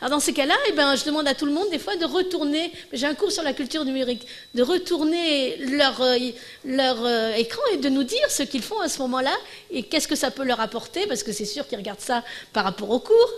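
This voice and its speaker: A woman talks at a fairly quick pace in a high voice. Her pitch swings very widely. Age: 60s. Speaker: professor giving a conference. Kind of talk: Q&A after lecture. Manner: halting, many false starts.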